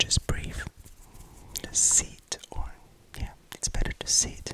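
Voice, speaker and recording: A man is whispering. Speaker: ASMR creator. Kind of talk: ASMR whispering to camera. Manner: whispered. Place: home room. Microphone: studio mic.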